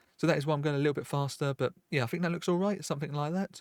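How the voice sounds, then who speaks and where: Recorded dry and close with no echo, a man talks with fairly even intonation. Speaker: software tutorial youtuber. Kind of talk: screen-recorded tutorial. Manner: fast.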